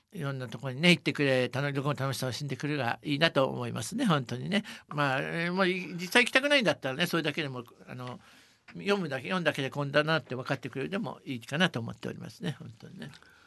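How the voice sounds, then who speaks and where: This man speaks at a very fast pace with a fairly high pitch. His tone is bright and sharp, with vocal fry. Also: ordinary pitch variation. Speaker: company advisor and travel author. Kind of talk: interview.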